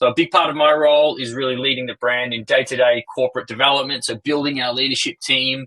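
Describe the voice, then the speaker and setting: In an Australian accent, a man of medium pitch talks at a very fast pace, recorded with a dry, close sound and no echo. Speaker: company co-founder and CEO. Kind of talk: investor webinar presentation. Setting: online webinar.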